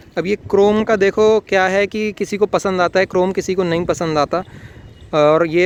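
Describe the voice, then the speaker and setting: A man talks at a high pitch. The sound is dry and close with no echo. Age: 20s. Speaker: car reviewer. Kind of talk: product review. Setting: in a car. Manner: casual.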